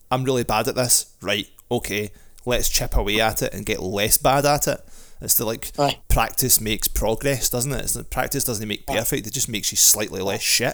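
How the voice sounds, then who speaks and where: Someone speaks with a Scottish accent and fairly even intonation. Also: man, medium pitch for a man, moderate pace. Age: 40s. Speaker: podcast co-host. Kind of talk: casual chat. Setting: video call.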